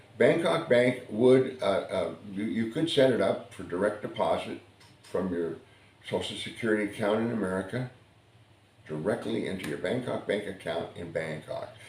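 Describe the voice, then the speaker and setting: A somewhat breathy man speaks at medium pitch and a moderate pace with lively intonation. Audible room echo surrounds his voice. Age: 70s. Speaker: vlogger. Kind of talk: casual monologue. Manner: halting, many fillers and repeats.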